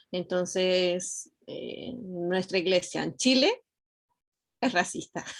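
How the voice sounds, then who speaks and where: In an Argentine accent, a woman of medium pitch talks at a very slow pace with long, frequent pauses. Her pitch varies in an ordinary way. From Argentina. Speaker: student. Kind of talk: class discussion.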